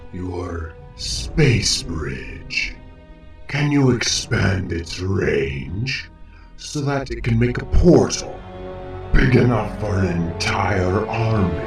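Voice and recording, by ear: Over clear music in the background, a man uses a put-on character voice at a fairly low pitch and a very slow pace.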